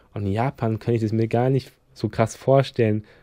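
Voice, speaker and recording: Speaking at a fairly quick pace, a man with a fairly low pitch and a dark, mellow tone keeps a monotone, flat intonation. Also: dry, close sound with no echo. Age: 20s. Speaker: podcast host and YouTuber. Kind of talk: casual solo podcast monologue.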